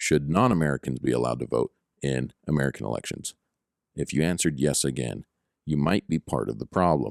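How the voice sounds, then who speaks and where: A man's very deep, low pitch with vocal fry and ordinary pitch variation. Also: fairly quick pace, dry, close sound with no echo. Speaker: political news commentator podcaster. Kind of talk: opinionated news commentary podcast. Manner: conversational, rhetorical, with filler words.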